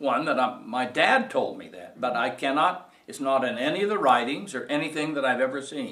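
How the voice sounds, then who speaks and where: The speaker has a Utah accent and lively intonation at a moderate pace. Audible room echo fills the recording. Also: man. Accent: western US (Utah). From Utah, Salt Lake City. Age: 70s. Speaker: oral history interviewee. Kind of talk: oral history interview. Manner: halting, many fillers.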